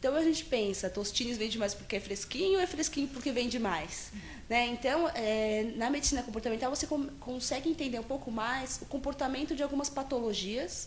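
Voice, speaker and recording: Her voice sits high as the woman talks fairly quickly. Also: ordinary pitch variation, hardly any pauses. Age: 20s. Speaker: psychologist. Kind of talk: interview. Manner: halting, many fillers and restarts.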